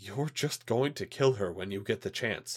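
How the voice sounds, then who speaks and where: A man does a growling put-on character voice at a fairly low pitch and a moderate pace, recorded very cleanly against a silent background. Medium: read story. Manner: firm, defiant.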